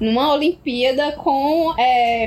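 A woman's voice over noticeable background noise. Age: 20s. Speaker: podcast co-host. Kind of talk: casual chat.

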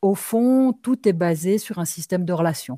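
Her voice dark and mellow, a woman talks at a fairly slow pace with a dry, close sound and no echo. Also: very clean recording, silent background. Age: 50s. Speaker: ecotherapist and shaman. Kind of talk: interview conversation.

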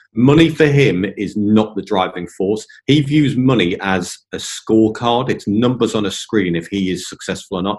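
Speaking with an English accent, a man talks at a moderate pace with hardly any pauses. His pitch is fairly low, with ordinary variation. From England. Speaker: property investor, ex-military pilot. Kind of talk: interview.

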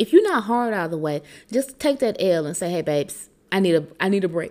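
A woman speaks with very wide pitch swings. Her tone is animated and passionate. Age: 30s. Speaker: podcast host. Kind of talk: casual solo podcast monologue. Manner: animated, passionate.

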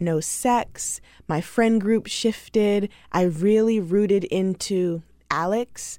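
Very slowly and with fairly even intonation, a woman speaks in a dark, mellow tone on a very clean recording with a silent background. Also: medium pitch for a woman. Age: 20s. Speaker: podcast host and author. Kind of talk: casual chat. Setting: studio.

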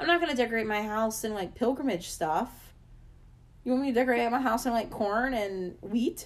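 With an American accent, a woman speaks in an ordinary speaking voice, fairly high in pitch, with ordinary pitch variation and a fairly quick pace. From US South. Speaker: podcast co-host. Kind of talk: casual chat.

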